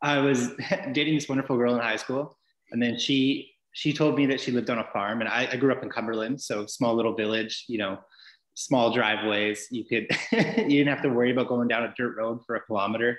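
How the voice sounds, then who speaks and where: This man speaks at a fairly quick pace with fairly even intonation. His voice carries audible room echo against a quiet background. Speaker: guest. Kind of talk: interview answer. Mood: friendly, laughing storyteller. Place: home room. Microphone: video call.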